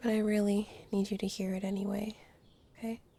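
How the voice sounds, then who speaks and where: A woman's somewhat breathy voice has a gentle, dark and mellow tone with monotone, flat intonation. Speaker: ASMR roleplay artist. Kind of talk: comfort ASMR roleplay. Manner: soft-spoken, gentle, slow.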